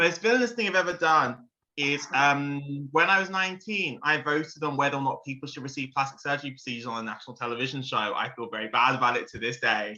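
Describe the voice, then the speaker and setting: Speaking very fast with hardly any pauses, a man in a London accent uses a fairly high pitch, a bright, sharp tone and lively intonation. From London, England. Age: 20s. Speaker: maths teacher, game player. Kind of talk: casual introduction on video call.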